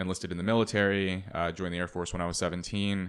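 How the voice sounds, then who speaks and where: Recorded very cleanly against a silent background, a man speaks in a very deep, low voice with monotone, flat intonation. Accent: American. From California (Los Angeles). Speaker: author. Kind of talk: interview conversation. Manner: halting.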